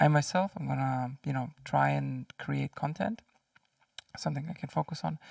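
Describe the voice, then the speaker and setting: Soft-spoken delivery at a moderate pace, with a dry, close sound with no echo. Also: man. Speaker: indie game developer and content creator. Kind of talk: casual vlog.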